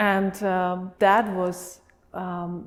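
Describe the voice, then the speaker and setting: A woman of medium pitch with a Slovak accent. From Slovakia. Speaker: refugee sharing her life story. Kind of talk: interview testimony. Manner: hesitant with many fillers.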